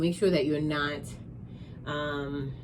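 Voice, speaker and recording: An animated woman with a slight New York accent, amid audible room echo. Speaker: tarot reader. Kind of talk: tarot reading.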